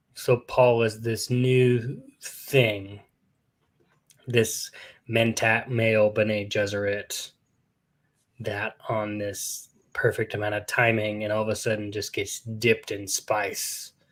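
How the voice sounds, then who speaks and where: A man with an American accent and a medium pitch speaks very slowly in a monotone, flat intonation, somewhat breathy, with long, frequent pauses. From US West (Fresno, California). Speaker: podcast host. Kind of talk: casual chat. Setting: live stream. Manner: whispering.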